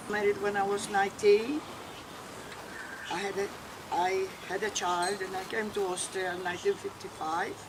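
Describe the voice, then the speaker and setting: Speaking with a Maltese accent, a woman keeps a moderate pace, medium pitch and fairly even intonation, with long, frequent pauses and noticeable background noise. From Malta. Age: 80s+. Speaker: immigrant interviewee. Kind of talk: life story interview. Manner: halting.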